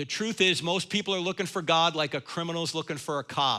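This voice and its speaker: With a New Jersey accent, a man speaks at a fairly quick pace in a high, bright, sharp voice on a very clean recording with a silent background. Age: 60s. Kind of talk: lecture and Q&A at church event. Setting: church stage with audience.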